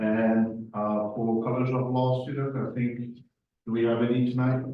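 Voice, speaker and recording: A man with a French accent speaks in a monotone, flat intonation, and audible room echo surrounds his voice. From Morocco, Spanish family, then France. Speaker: lean consultant. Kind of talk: presentation.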